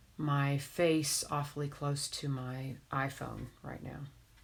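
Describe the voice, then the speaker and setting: A woman's voice, somewhat breathy, sits at a very deep, low pitch. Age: 50s. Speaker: crafter streaming a craft tutorial. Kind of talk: casual chat while crafting on a live stream. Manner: monotone.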